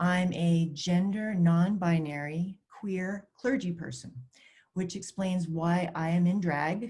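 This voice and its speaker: A woman's somewhat breathy, dark, mellow tone at a fairly low pitch, fairly slow pace and ordinary pitch variation. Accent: American. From US Northeast, Maine. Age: 50s. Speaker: clergy person. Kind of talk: testimony. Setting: virtual summit video. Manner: read from a script.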